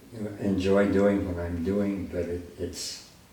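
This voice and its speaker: A man's very deep, low voice at a very slow pace, with audible room echo and noticeable background noise. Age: 90s. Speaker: photographer. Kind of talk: interview. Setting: home studio with darkroom. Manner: halting.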